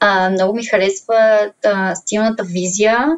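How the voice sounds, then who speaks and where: At a very slow pace, a woman speaks with medium pitch and fairly even intonation. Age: 20s. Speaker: social media influencer. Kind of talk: casual interview.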